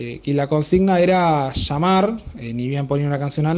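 At a moderate pace, a man speaks in a dark, mellow tone at a fairly high pitch for a man, with ordinary pitch variation. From Argentina, Pehuajó, Buenos Aires province. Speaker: radio listener sending a voice message. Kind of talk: recorded anecdote for a radio show. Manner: halting, with many fillers.

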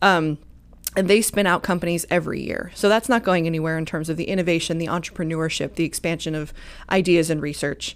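The speech comes at a very fast pace with fairly even intonation. The recording is very clean, with a silent background. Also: woman, fairly low pitch for a woman. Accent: American. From US Midwest, rural Missouri. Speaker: economic development official. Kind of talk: interview. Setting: studio, live stream.

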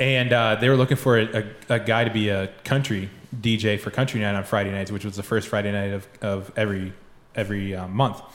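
A normal speaking voice with an American accent, fairly quick in pace and fairly even in intonation. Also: man, fairly low pitch for a man. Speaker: racing photographer. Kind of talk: casual chat.

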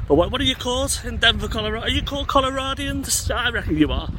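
Noticeable background noise runs through the clip. Over it, a man speaks at a fairly quick pace. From England. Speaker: music podcast host. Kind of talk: casual vlog monologue. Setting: outdoors walking. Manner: rambling, conversational.

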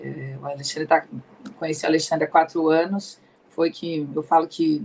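A woman speaks at a moderate pace in a very deep, low pitch. Her intonation is monotone and flat. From Ribeirão Preto, São Paulo state, Brazil. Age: 40s. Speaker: pharmacist and pharmaceutical sales rep. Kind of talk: career testimony in interview. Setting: online live stream.

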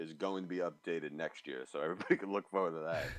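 A man with a very deep, low pitch, an American accent and fairly even intonation. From New York. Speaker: designer. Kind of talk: casual chat.

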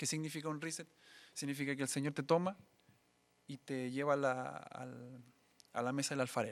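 Spoken in a Chilean accent, the delivery keeps a fairly even intonation and is broken by long, frequent pauses. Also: man, fairly high pitch for a man, moderate pace. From Chile, Biobío region (Coronel). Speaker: musician, sound engineer and church minister. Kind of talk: casual interview; sermon-like testimony.

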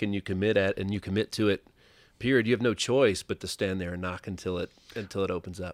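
On a very clean recording with a silent background, a man in a Southern US accent talks at a very fast pace with fairly even intonation. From US South (Tennessee). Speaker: entrepreneur, insurance advisor. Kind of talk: casual interview. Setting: studio.

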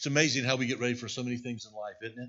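Audible room echo hangs around the speech. The speaker is a man with a medium-pitched voice. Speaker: pastor. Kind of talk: sermon. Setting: church.

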